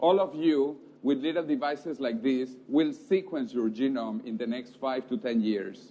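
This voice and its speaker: A man speaks at a moderate pace with a Spanish accent. His pitch sits fairly high, and his intonation is lively. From South America. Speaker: futurist speaker. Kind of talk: lecture.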